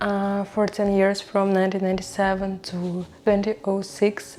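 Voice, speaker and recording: Music plays behind a woman with a non-native accent. She speaks at a very slow pace and a medium pitch. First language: not English. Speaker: video creator. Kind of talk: casual talk to camera. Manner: halting, with fillers.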